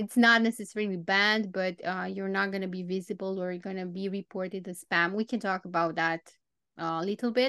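A woman with a Romanian accent, bright and sharp in tone, at a fairly quick pace with fairly even intonation, dry and close with no echo against a quiet background. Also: medium pitch for a woman. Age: 30s. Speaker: copywriter and copy coach. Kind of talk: interview.

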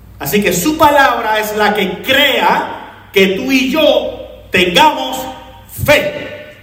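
An animated man speaks with very wide pitch swings. The recording has audible room echo and noticeable background noise. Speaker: pastor. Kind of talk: sermon. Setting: church.

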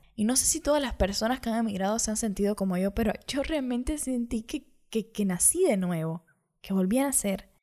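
A woman speaks fairly quickly in a dark, mellow tone, her fairly high voice carrying lively intonation on a very clean recording with a silent background. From Cuba. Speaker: podcaster. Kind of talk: personal monologue.

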